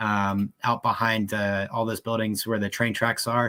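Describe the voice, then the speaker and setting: Very clean with a silent background, the recording has a dry, close sound with no echo, carrying a man's fairly low, bright, sharp voice in a monotone, flat intonation. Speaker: soccer fan podcast host. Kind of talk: casual chat. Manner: hesitant, many fillers.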